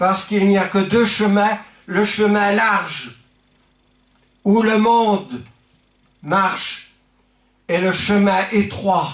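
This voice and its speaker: The speaker goes at a very slow pace with long, frequent pauses and fairly even intonation, and the room echo is audible. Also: man, high pitch for a man, very even loudness. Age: 70s. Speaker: pastor. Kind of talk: sermon. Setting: church.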